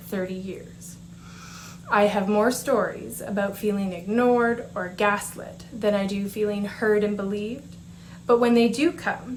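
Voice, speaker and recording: A woman speaks at a medium pitch in a somewhat breathy voice, with audible room echo. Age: 40s. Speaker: patient speaker. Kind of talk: prepared conference presentation. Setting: conference presentation. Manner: formal.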